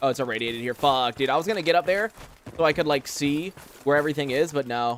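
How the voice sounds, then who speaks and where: Delivery comes at a very fast pace. Pitch variation is ordinary. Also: man, fairly high pitch for a man. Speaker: gaming streamer. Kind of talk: live stream gameplay commentary. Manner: casual, filler-heavy.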